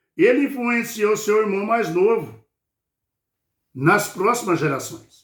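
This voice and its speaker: Audible room echo surrounds a man speaking in a high voice. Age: 60s. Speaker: lay preacher. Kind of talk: bible study sermon. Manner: informal, repetitive fillers.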